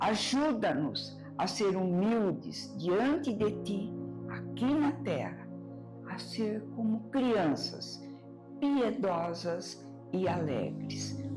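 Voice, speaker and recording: Music plays behind a woman who talks very slowly. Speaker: radio host. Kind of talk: radio devotional program.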